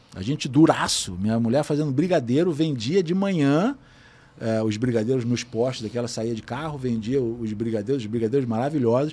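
A fairly quick man's voice at a medium pitch, with ordinary pitch variation. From Brazil. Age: 50s. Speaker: photographer. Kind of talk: casual chat.

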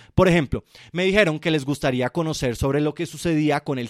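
Over a very clean recording with a silent background, a man with a Colombian accent speaks at a fairly quick pace in an animated tone, his fairly high pitch showing ordinary variation and the sound dry and close with no echo. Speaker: film podcast host. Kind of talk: solo podcast monologue.

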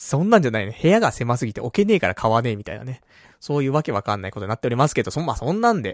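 A man speaks with lively intonation on a very clean recording with a silent background and a dry, close sound with no echo. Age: 30s. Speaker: internet radio host. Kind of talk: casual solo talk show. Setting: live internet radio broadcast.

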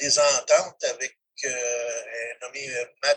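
A man with a fairly high pitch and ordinary pitch variation, speaking at a very slow pace. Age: 60s. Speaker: retired professional wrestler. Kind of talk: interview.

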